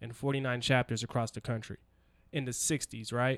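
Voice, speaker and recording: At a moderate pace, a man speaks at a medium pitch in a very clean recording with a silent background. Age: 20s. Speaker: podcast host. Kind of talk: casual interview. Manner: animated.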